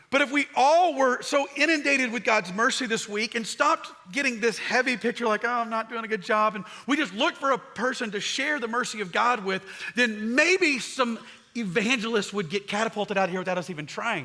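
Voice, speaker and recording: A man's extremely high, raised, projected voice at a fairly quick pace with lively intonation. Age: 40s. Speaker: pastor. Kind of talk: sermon. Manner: fast.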